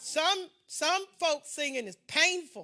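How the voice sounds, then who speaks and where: In a raised, projected voice with a bright, sharp tone, a woman speaks at a very slow pace. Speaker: pastor. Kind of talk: sermon. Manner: animated.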